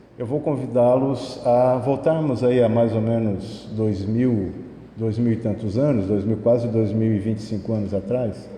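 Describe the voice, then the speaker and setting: With audible room echo and noticeable background noise, a man speaks fairly slowly at a medium pitch with fairly even intonation. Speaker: spiritist lecturer. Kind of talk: lecture. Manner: soft-spoken.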